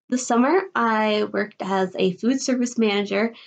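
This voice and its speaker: Her fairly high pitch, ordinary pitch variation and Midwestern US accent mark this woman's speech. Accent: US Midwest. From Illinois, Chicago area. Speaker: college student. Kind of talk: video presentation.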